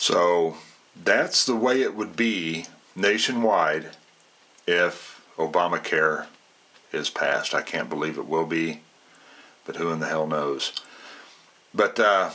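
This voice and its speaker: The man's voice is very deep and low, with ordinary pitch variation. Noticeable noise can be heard in the background. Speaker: military veteran and political vlogger. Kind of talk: casual political commentary monologue. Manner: conversational, many fillers.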